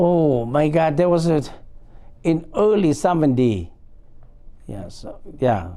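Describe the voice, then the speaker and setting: A man with a dark, mellow tone and fairly high pitch speaks at a very slow pace, his intonation lively and his loudness swinging widely. Long, frequent pauses break up the speech, and room echo is audible. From Laos. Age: 60s. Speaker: war veteran. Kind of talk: oral history interview. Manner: halting, frequent fillers.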